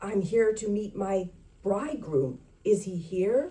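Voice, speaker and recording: A woman's put-on character voice at a medium pitch, with lively intonation and a fairly slow pace. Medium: read story.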